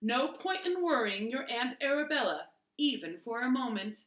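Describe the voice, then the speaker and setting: A woman's high-pitched, put-on character voice at a moderate pace, with lively intonation. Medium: read story. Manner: formal, proper.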